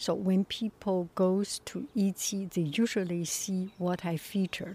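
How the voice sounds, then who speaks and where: At a very slow pace, a woman speaks with a medium pitch and a somewhat breathy quality. The sound is dry and close, with no echo. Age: 60s. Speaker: artist and podcaster. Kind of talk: casual monologue. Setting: outdoors in backyard.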